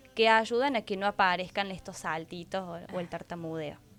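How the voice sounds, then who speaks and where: Music plays in the background as a woman speaks at a moderate pace. Her pitch is medium, with ordinary pitch variation. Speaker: speech-language pathologist (fonoaudióloga) guest expert. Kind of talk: TV interview answer, explanatory.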